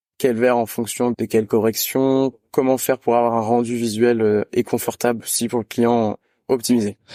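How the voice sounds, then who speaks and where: Dry and close with no echo, a man's dark, mellow voice sits at medium pitch with monotone, flat intonation at a moderate pace. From France, countryside between Lyon and Grenoble. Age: 20s. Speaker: optician apprentice student. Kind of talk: interview. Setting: video call. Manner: hesitant with frequent fillers.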